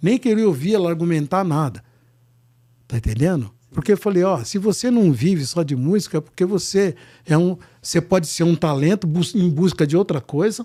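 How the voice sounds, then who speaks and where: With a dark, mellow tone and lively intonation, a man speaks at a high pitch and a moderate pace, his loudness very even, in a very clean recording with a silent background. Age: 70s. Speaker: singer-songwriter and musician. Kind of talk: casual interview chat.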